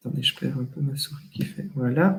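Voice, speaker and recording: Speaking with a slight Walloon accent, a man shows ordinary pitch variation. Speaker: general practitioner. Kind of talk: webinar software demonstration. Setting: online webinar. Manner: hesitant, many fillers.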